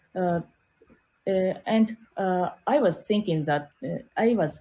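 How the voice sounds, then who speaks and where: A woman speaks with a Japanese accent in a dark, mellow tone. Her pace is very slow and her intonation is lively. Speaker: art teacher and designer. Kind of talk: interview. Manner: halting, many fillers.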